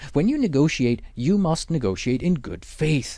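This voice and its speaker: Pitch swings very widely in this dark, mellow voice with a Swiss German accent, caught in a very clean recording with a silent background. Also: man. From Switzerland. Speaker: exam prep instructor. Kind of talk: lecture.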